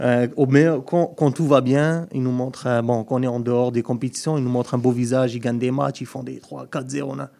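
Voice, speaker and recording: At a fairly quick pace, a man speaks in a medium-pitched voice. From Algeria. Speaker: football pundit. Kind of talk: casual chat.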